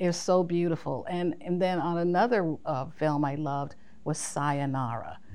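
With an American accent, a plain, everyday voice moves at a fairly slow pace with ordinary pitch variation. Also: woman. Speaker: costume designer. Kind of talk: casual interview.

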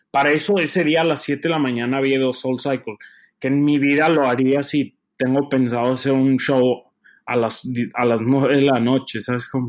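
Speaking in an ordinary speaking voice, a man uses a medium pitch, a moderate pace and fairly even intonation. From Mexico, Torreón. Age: 20s. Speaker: opera tenor. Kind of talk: interview.

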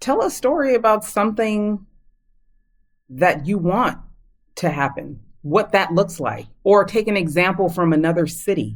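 A woman speaks at medium pitch and a moderate pace, her intonation lively. Long pauses come often. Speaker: PR professional and county commissioner. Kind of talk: interview.

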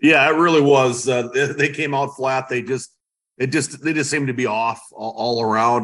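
Fairly even intonation at a moderate pace. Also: man. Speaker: sports newspaper reporter. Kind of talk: casual interview chat. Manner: halting, filler words, repeats.

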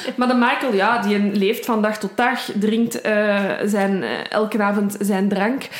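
In a Brussels accent, a woman with a fairly high pitch speaks at a very slow pace with monotone, flat intonation, amid audible room echo and noticeable background noise. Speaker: true crime podcast co-host. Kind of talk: casual true crime storytelling.

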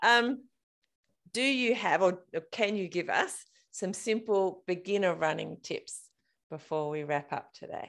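In a very clean recording with a silent background, a woman with an Australian accent speaks at a medium pitch with lively intonation and a fairly slow pace. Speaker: podcast host. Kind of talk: casual interview. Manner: animated.

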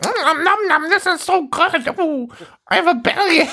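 This put-on character voice moves at a moderate pace with an extremely high pitch. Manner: absurd, cutesy, delighted.

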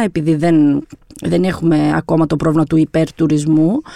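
The recording of a woman's voice is dry and close, with no echo. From Albania, raised in Greece from 1997. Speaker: journalist, editor. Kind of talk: podcast interview.

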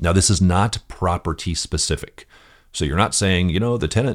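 A man with an American accent speaks at a moderate pace in a very deep, low voice with vocal fry. The recording is very clean, dry and close, with a silent background and no echo. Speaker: podcast host and property management coach. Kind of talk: solo podcast monologue, instructional.

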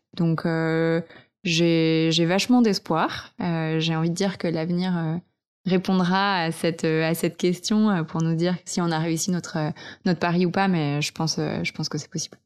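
A woman with an unremarkable speaking voice talks at a fairly slow pace and fairly low pitch, her intonation fairly even, on a very clean recording with a silent background. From French Alps, Vercors. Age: 20s. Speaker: eco content creator. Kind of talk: casual interview. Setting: host's living room.

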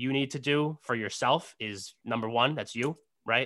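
An American accent marks this man's bright, sharp tone, which carries ordinary pitch variation. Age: 30s. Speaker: sales executive. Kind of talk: casual chat. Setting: video call.

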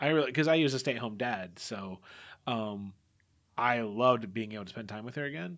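A man with a normal speaking voice, a medium pitch, ordinary pitch variation and a fairly quick pace, in a very clean recording with a silent background. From US, Mexican American family. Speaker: tabletop RPG podcast game master. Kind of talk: interview.

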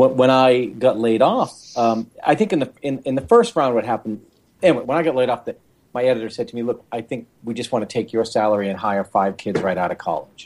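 He speaks in an ordinary speaking voice. The man's pitch varies in an ordinary way. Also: medium pitch for a man, fairly quick pace. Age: 50s. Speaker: author and tech journalist. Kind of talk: interview.

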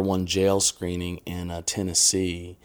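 A man speaks with an American accent in a very deep, low, monotone, flat voice. The recording is very clean, with a silent background. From Indiana, US Midwest. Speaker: filmmaker. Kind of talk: podcast interview. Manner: halting, many fillers.

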